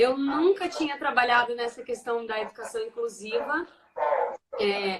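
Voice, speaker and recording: A woman with a rural Brazilian accent speaks at a fairly slow pace in a high voice with lively intonation. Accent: Brazilian countryside accent, kept. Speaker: teacher and education researcher. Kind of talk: casual online talk.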